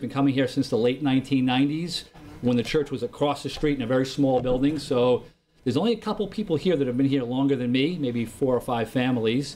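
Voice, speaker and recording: The speaker is a man with a fairly high pitch and a dark, mellow tone. He talks at a very fast pace. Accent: New York. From New York / New Jersey area. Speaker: lay preacher. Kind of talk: sermon. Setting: church. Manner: loud.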